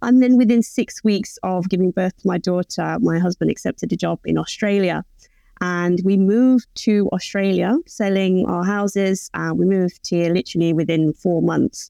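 Dry and close with no echo, a woman's dark, mellow voice of medium pitch comes through in an English accent at a moderate pace, with ordinary pitch variation and a quiet background. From England. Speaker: postpartum doula and birth educator. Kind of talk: interview.

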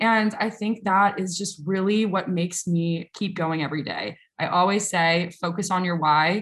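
In a very clean recording with a silent background, a woman with an American accent speaks in a somewhat breathy, medium-pitched voice. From US South, New Orleans, Louisiana. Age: 20s. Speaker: social media consultant and content creator. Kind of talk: interview. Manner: animated.

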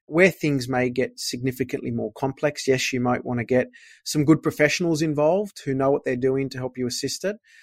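A man with an Australian accent speaks at a fairly quick pace and medium pitch, with ordinary pitch variation. The sound is dry and close with no echo, on a very clean recording with a silent background. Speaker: accountant. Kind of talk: interview about finance.

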